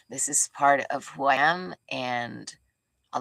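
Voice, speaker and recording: Soft-spoken and very deep, low in pitch, a woman's voice has a bright, sharp yet gentle tone in a dry, close sound with no echo. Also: very clean recording, silent background. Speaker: spiritual teacher. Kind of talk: spiritual teaching talk. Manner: gentle, heartfelt tone.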